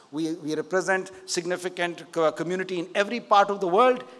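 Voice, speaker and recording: At a fairly quick pace, a man is talking. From India. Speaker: keynote speaker, investor and politician. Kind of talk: keynote speech. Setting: conference stage with audience. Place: stage. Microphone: podium.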